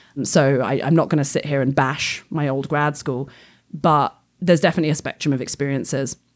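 In a very clean recording with a silent background, a woman with an English accent speaks in a very deep, low voice at a fairly quick pace with fairly even intonation. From England. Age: 30s. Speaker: astrophysics PhD student. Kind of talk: casual interview chat.

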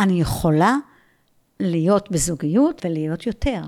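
A woman's pitch swings very widely on a very clean recording with a silent background. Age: 60s. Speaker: philosophy lecturer and mindfulness teacher. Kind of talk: casual interview. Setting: at her home.

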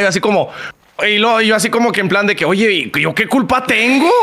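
Over noticeable background noise, a man talks at a fairly quick pace in a raised, projected voice that sits high in pitch. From Chihuahua, northern Mexico. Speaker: streamer and content creator. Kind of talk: casual chat.

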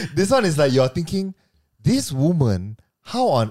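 A man with a fairly high pitch speaks at a fairly slow pace, his voice somewhat breathy with a dark, mellow tone. His pitch swings very widely, and the sound is dry and close with no echo. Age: 30s. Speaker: podcast host. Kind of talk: casual chat. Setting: studio.

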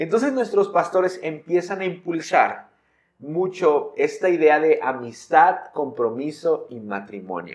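A high-pitched man speaks at a fairly slow pace. His voice makes very wide pitch swings and big swings in loudness. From Mexico, San Luis Potosí. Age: 20s. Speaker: pastor. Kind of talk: casual chat.

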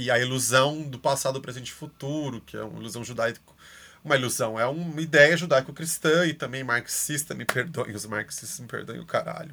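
Bright and sharp with vocal fry, a man's medium-pitched voice moves at a fairly quick pace, with ordinary pitch variation and big swings in loudness. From Brazil. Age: 30s. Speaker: art educator. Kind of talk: casual chat.

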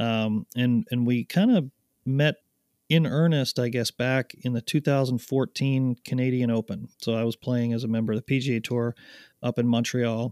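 On a very clean recording with a silent background and a dry, close sound with no echo, a man with an unremarkable speaking voice talks at a moderate pace and medium pitch with fairly even intonation. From Canada, Ottawa area. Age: 40s. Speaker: golf glove company co-founder, former pro golfer. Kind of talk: casual chat.

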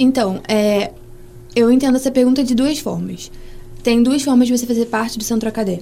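A woman speaks at a fairly quick pace in a fairly high pitch, with noticeable background noise. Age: 20s. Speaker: medical student, student association president. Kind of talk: casual interview.

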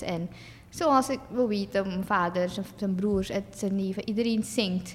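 A woman speaks with medium pitch and fairly even intonation. Her delivery comes at a fairly slow pace. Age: 20s. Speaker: singer and influencer, dental hygiene student. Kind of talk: casual interview. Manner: hesitant, many fillers.

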